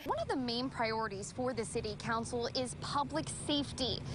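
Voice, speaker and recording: Through noticeable background noise, a woman speaks in a high pitch. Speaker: TV news anchor and reporter. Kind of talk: TV news report read.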